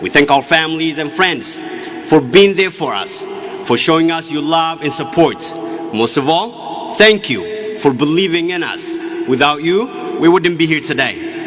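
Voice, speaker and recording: Speaking with an Ethiopian accent, a man talks at a high pitch with ordinary pitch variation and a fairly slow pace. The recording has noticeable background noise and audible room echo. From Ethiopia, Oromia. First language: Oromo. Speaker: graduating student speaker. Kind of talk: commencement speech. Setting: stage with audience.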